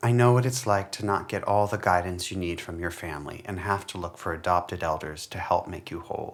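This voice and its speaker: Talking at a fairly quick pace with hardly any pauses, a man uses a very deep, low pitch and ordinary pitch variation. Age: 40s. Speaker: folklore scholar. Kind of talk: reading aloud.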